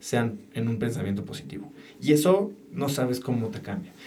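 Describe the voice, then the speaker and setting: A man's medium-pitched voice with lively intonation, audible room echo, and music in the background. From Mexico City. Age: 40s. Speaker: entrepreneur and podcaster. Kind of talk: interview conversation.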